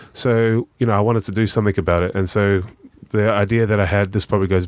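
The speaker talks at a very fast pace with a New Zealand accent. The intonation stays fairly even. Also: man. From New Zealand, South Auckland. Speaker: charity worker. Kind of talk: casual chat.

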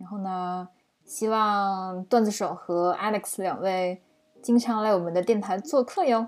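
Fairly slow speech in a plain, everyday voice, with ordinary pitch variation. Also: woman, medium pitch for a woman, big swings in loudness. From China. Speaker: podcast co-host, project manager. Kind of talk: casual chat.

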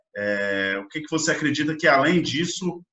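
The voice here is an unremarkable speaking voice. Pitch moves in an ordinary way. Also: man. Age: 20s. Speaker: podcast host. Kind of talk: interview.

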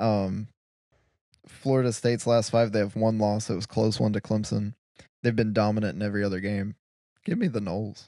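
A man's fairly low, dark, mellow voice at a fairly quick pace, with fairly even intonation and long, frequent pauses, in a very clean recording against a silent background. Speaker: podcast host. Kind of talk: casual sports chat.

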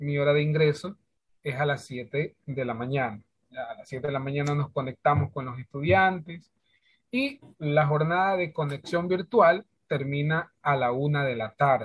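Fairly slow, somewhat breathy speech from a man, fairly high in pitch, with ordinary pitch variation. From Ecuador, Santa Elena province. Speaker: schoolteacher. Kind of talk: interview. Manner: hesitant, many fillers.

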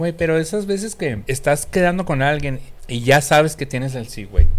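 Music plays in the background. A man speaks at a moderate pace with ordinary pitch variation. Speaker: podcast co-host. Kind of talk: casual chat.

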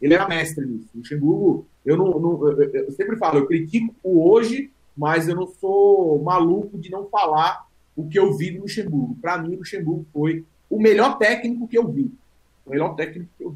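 A man speaks at a moderate pace in a high pitch. His loudness swings widely. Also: lively intonation. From São Paulo, east zone. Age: 30s. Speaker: football YouTuber. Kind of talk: casual chat.

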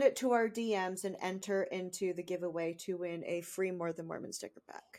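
Over a very clean recording with a silent background, a woman speaks in a plain, everyday voice at medium pitch with fairly even intonation. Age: 20s. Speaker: podcast co-host. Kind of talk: casual chat.

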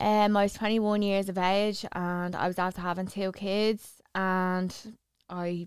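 A woman with an Irish accent speaks in a flat monotone. The recording is very clean, with a silent background. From Ireland. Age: 30s. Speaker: model and social media personality. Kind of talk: casual chat.

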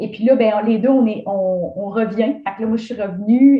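A woman speaks with a Quebec accent, her voice somewhat breathy. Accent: Québécois French. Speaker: running coach and entrepreneur. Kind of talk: casual interview. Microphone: connection problems at times.

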